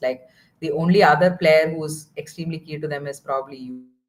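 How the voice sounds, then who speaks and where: In a Tamil accent, a woman speaks with a fairly low pitch. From southern India (Kerala). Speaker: football watchalong co-host. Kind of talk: casual chat.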